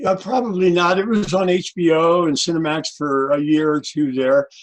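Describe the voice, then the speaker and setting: A man talks at a moderate pace and a high pitch, with ordinary pitch variation and very even loudness. Noticeable background noise sits behind him. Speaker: presidential candidate. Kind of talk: interview.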